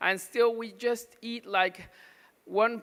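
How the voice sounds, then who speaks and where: Over a silent background on a very clean recording, a man speaks in a raised, projected voice with a bright, sharp tone. His pace is fairly slow. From Mexico. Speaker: pediatric nutrition doctor. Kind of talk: conference talk. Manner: halting, many fillers.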